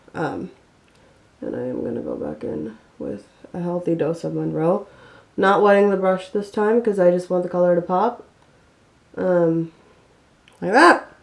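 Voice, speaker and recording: Pausing long and often, a woman speaks at a moderate pace with big swings in loudness. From US Midwest (Ohio), Indian-American family. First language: Telugu. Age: 20s. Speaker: beauty vlogger. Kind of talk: tutorial. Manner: casual, filler-heavy (um, like).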